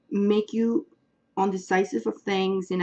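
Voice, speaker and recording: A woman's dark, mellow voice at a medium pitch and a fairly slow pace. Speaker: tarot astrology reader. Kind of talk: astrology reading. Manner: casual, hesitant with fillers.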